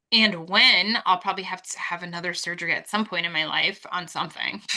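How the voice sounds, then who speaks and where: The pace is fairly quick and the intonation fairly even. Noticeable background noise is present. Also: woman, medium pitch for a woman. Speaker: podcast co-host. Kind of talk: casual chat. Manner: loud.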